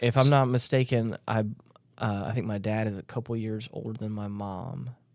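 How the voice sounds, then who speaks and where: Delivered at a moderate pace with fairly even intonation, this is an ordinary speaking voice. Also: man, medium pitch for a man. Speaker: podcast co-host. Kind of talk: casual group discussion.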